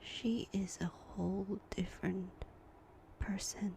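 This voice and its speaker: A woman is whispering. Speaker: stay-at-home mom. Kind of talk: ASMR whispered chit-chat. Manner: whispered; soft-spoken, slow.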